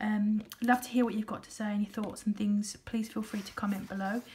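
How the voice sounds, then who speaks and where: Someone with a British accent speaks with fairly even intonation against noticeable background noise. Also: woman. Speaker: budgeting vlogger. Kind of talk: casual vlog talk. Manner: hesitant, many fillers.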